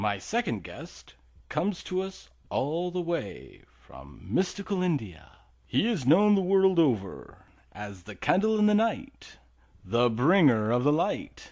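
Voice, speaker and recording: A man puts on a character voice with a fairly high pitch. He speaks at a fairly slow pace, his pitch swinging very widely. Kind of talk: comedy radio show.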